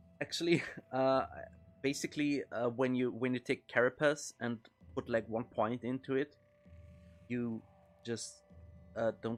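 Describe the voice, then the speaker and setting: A man speaks at a fairly slow pace with long, frequent pauses, his medium-pitched voice following a fairly even intonation over music in the background. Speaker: video game streamer. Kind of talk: gameplay commentary. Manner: loud; hesitant, many fillers.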